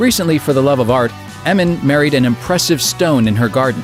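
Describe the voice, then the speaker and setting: Music plays in the background as a man talks at a fairly quick pace with lively intonation. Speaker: voice actor. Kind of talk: comedic list-video narration.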